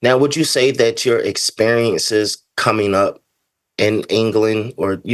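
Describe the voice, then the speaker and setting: In a normal speaking voice with an American accent, a man speaks at a moderate pace in a fairly low pitch with ordinary pitch variation against a quiet background. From United States. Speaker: podcast host. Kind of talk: interview.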